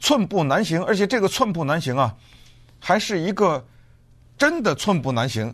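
High pitch from a man, swinging very widely up and down. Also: very clean recording, silent background. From Beijing, China. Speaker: podcast host. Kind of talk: solo commentary.

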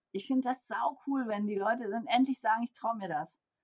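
Dark, mellow tone, somewhat breathy, with lively intonation at a moderate pace. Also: woman. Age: 50s. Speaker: organizational development coach and consultant. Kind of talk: interview.

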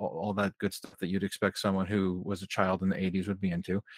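A man with an unremarkable speaking voice talks at a fairly low pitch and a fairly quick pace. The recording is very clean, with a silent background and a dry, close sound with no echo. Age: 30s. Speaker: filmmaker and sound editor. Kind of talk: casual chat.

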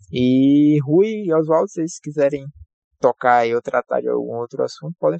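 A man speaking at a moderate pace. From Northeast Brazil, São Luís, Maranhão. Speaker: podcast host and aerospace engineer. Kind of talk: podcast interview.

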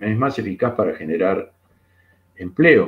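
The somewhat breathy voice moves at a fairly slow pace with lively intonation. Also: man. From Argentina. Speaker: economist and painter. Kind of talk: interview conversation. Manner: halting, with many fillers.

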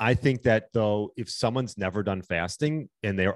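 This is a man with a fairly low pitch. His pitch varies an ordinary amount. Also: dry, close sound with no echo. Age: 40s. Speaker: intermittent fasting coach and wellness coach. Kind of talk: casual interview. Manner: hesitant, many fillers.

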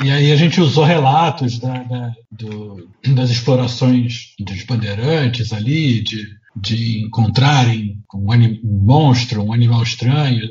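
A somewhat breathy man at a medium pitch, speaking at a very slow pace in a room with audible echo. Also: ordinary pitch variation. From Rio de Janeiro, Brazil. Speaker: comic artist and illustrator. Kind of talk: casual chat.

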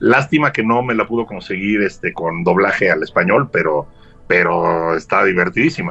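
This man's fairly low voice has a bright, sharp tone, lively intonation and a moderate pace. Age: 60s. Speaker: guest. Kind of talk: casual chat.

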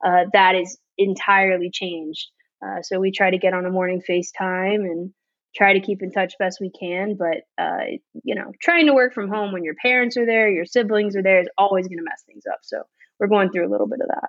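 A woman with an American accent and a plain, everyday voice at medium pitch, fairly quick pace, ordinary pitch variation and big swings in loudness. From Miami, Florida. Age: 30s. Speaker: small business owner. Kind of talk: casual chat.

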